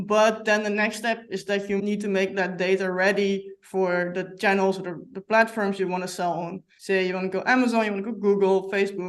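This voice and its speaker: The speaker has a Dutch accent and a fairly quick pace. The intonation is flat and monotone. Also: woman, medium pitch for a woman. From Netherlands. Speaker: software company representative. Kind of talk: podcast interview.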